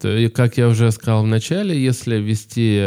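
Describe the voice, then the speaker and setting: A man's medium-pitched voice has a dark, mellow tone on a very clean recording with a silent background. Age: 20s. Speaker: podcast host. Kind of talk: casual interview.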